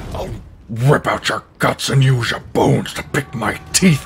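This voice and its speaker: A man growls in a put-on character voice at medium pitch. He keeps to a moderate pace. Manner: menacing, growling.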